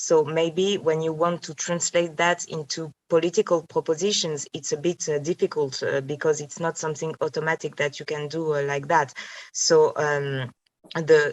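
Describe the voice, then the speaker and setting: A woman talks with monotone, flat intonation in a very deep, low pitch. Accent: French. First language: French. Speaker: philosopher. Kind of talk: academic seminar discussion. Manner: halting, many fillers.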